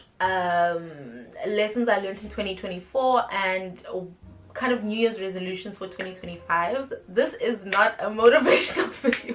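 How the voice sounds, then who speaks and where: Over music in the background, a woman with an American accent speaks with big swings in loudness. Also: medium pitch for a woman, ordinary pitch variation, moderate pace. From South Africa, East London. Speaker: YouTuber. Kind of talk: casual vlog talk to camera. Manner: animated.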